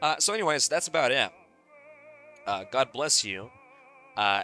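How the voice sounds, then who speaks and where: With music behind him, a man talks at a moderate pace. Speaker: podcast host. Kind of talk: solo podcast monologue. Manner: halting, repeated words; relaxed.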